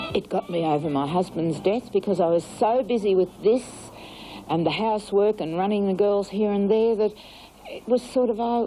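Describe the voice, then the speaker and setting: With an Australian accent, a woman talks at a moderate pace and medium pitch with ordinary pitch variation over noticeable background noise. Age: 60s. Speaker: aerobics instructor. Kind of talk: interview.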